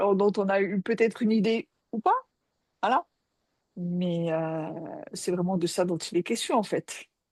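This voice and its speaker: Her medium-pitched voice is heard dry and close, with no echo. The woman speaks fairly slowly with fairly even intonation and long, frequent pauses. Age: 60s. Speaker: psychoanalyst. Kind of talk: casual chat. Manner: halting.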